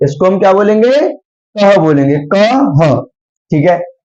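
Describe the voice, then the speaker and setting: The man's voice is high in pitch and shows ordinary pitch variation. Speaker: online tutor teaching Hindi alphabet. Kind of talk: tutorial lesson.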